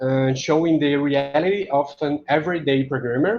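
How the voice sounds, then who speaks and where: In a Portuguese accent, a man talks at a fairly slow pace, his fairly high pitch showing ordinary variation. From Brazil, Recife. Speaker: software engineer. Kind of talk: conference talk. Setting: conference talk.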